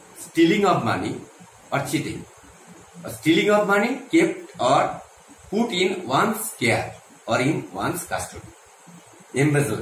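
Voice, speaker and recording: A man talks at a fairly slow pace, leaving long, frequent pauses. Audible room echo and light background noise surround him. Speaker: English teacher. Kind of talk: lecture. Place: classroom. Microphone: phone near.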